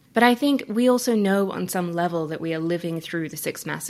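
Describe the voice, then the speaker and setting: A woman with an Australian accent, fairly low in pitch, at a moderate pace. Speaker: coach and climate activist. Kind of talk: interview conversation.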